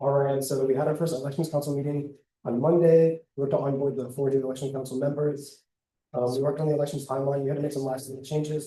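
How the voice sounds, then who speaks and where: Breathing somewhat audibly, a man with a dark, mellow tone and fairly high pitch rushes at a very fast pace in a monotone, flat delivery. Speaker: student government officer. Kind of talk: report presentation.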